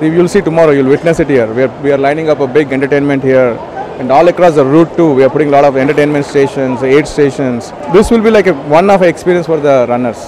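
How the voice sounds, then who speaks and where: A man's very fast speech with very even loudness and ordinary pitch variation, amid noticeable background noise. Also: dry sound with no echo. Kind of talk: interview answer. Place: hall. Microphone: handheld.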